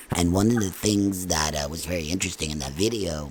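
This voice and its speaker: A man's fairly quick speech comes through over noticeable background noise. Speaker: podcast host and band musician. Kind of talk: casual interview.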